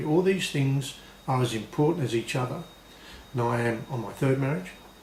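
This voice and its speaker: A man with an Australian accent at a very fast pace, ordinary pitch variation, and noticeable background noise. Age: 60s. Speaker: blues harmonica player and video blogger. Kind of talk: video blog monologue read from prompt sheets. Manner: read from notes.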